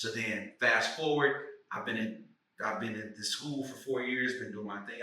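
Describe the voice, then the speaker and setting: A man is speaking. Room echo can be heard. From St. Louis, Missouri, US. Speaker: actor and writer. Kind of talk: casual podcast conversation.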